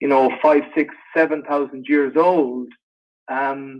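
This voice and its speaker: A man talks at a moderate pace with an Irish accent. His pitch is fairly high. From Ireland. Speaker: actor. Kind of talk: interview Q&A.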